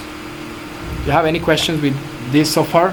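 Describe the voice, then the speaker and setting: A Spanish accent comes through over noticeable background noise. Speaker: blockchain developer teaching a workshop. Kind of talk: live coding tutorial. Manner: halting, self-correcting.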